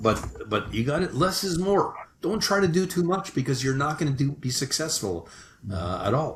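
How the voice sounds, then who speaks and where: Very wide pitch swings run through a man's voice, which also has vocal fry. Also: fairly high pitch for a man, moderate pace. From Canada. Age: 60s. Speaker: sales management consultant. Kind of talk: podcast interview. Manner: hesitant, with frequent restarts.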